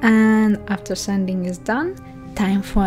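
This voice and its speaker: A woman with a Russian accent speaks at a fairly slow pace and medium pitch, with ordinary pitch variation. Music plays in the background. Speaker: illustrator and 2d animator. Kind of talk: tutorial voice-over.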